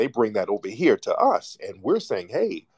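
A man speaks. The sound is dry and close, with no echo. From United States. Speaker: talk show host and filmmaker. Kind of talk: live call-in discussion. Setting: online audio room with callers. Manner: animated.

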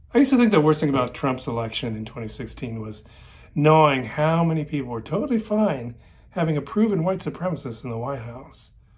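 The somewhat breathy voice races at a very fast pace, with very wide pitch swings and big swings in loudness. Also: man. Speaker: personal storyteller. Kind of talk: personal essay monologue. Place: home room. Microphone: phone near.

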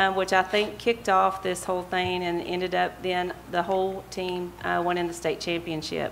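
With an Appalachian accent, a woman speaks at a moderate pace with hardly any pauses and fairly even intonation over light background noise. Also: medium pitch for a woman. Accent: Southern US (Appalachian). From US, Bristol, Virginia. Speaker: vice mayor, council member. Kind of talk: council meeting discussion. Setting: city council chamber. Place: hall. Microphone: podium.

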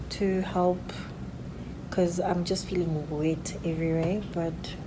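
With noticeable background noise, a woman talks at a fairly slow pace, using a fairly low pitch and fairly even intonation. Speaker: vlogger in early labour. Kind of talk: casual vlog chat. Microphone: phone near.

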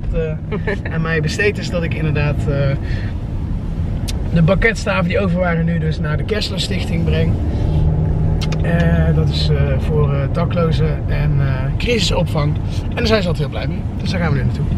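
Amid loud background noise, a man speaks at a moderate pace with long, frequent pauses, the sound dry with no echo. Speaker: family vlogger. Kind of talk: casual vlog chat. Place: car. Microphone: phone near.

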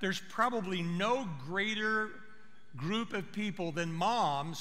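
The speaker is a man. He talks at a fairly slow pace. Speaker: pastor. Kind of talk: sermon. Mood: warm, personal, reflective. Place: church. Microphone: headset.

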